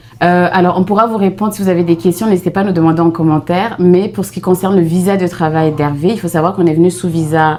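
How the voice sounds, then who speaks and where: A woman talks at a very fast pace with hardly any pauses. Her fairly low pitch sits over noticeable background noise. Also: fairly even intonation. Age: 30s. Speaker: vlogger, mother. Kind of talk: casual chat.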